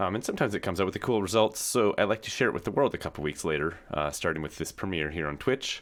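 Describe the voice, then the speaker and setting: A man talks at a very fast pace on a very clean recording with a silent background. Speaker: music streamer. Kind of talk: casual livestream talk. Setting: livestream. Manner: soft-spoken; halting.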